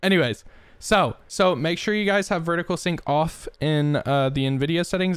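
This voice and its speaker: His intonation fairly even, a man speaks. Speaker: gaming streamer. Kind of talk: tutorial. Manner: fast; casual.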